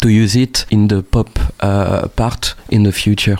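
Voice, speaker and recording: With a French accent, a man speaks at a medium pitch in a dark, mellow tone. His intonation is monotone and flat. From northern France. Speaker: musician. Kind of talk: interview. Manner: hesitant, many fillers.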